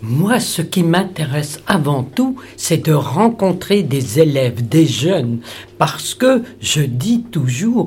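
A woman with a very deep, low pitch, very wide pitch swings, and a very slow pace. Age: 80s+. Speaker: Holocaust survivor. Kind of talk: testimony. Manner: halting.

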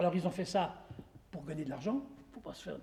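Pitched high, a man's voice carries a dark, mellow tone. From Saint-Claude, Jura, France. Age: 60s. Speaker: local association member and tour guide. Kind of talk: guided tour with historical explanation. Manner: hesitant, many repetitions.

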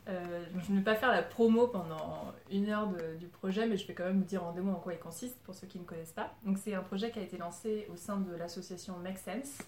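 Speaking at a fairly quick pace with hardly any pauses, a woman of medium pitch keeps her intonation fairly even while her loudness swings widely over noticeable background noise. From Paris suburbs, France. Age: 30s. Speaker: community organiser and podcast producer. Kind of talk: informal talk to a group.

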